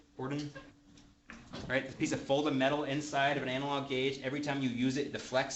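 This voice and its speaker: A man's very fast, monotone delivery, fairly high in pitch with flat intonation, in audible room echo. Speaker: manufacturer trainer. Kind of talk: technical training class. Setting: classroom with audience.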